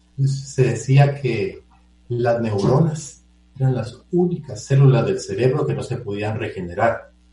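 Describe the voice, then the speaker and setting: Audible room echo surrounds a man's voice. He speaks at a fairly slow pace with a medium pitch. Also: ordinary pitch variation. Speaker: physician and surgeon. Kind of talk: expert interview on radio. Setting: remote line into radio show from a computer. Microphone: choppy, cutting audio over headphones.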